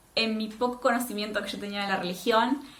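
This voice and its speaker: In a Rioplatense accent, a woman speaks at a fairly high pitch with audible room echo. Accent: Argentine Spanish (rioplatense). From Argentina, Neuquén (Patagonia). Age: 20s. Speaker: vlogger. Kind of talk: personal testimony vlog.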